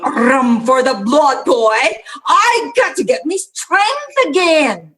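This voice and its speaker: This is a put-on character voice with a high pitch. It moves at a very slow pace. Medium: stage play.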